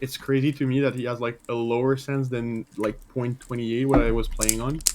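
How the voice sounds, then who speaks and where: A man's monotone, flat voice with a French Canadian accent, at a fairly quick pace over noticeable background noise. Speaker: gamer being coached. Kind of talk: casual chat. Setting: voice chat.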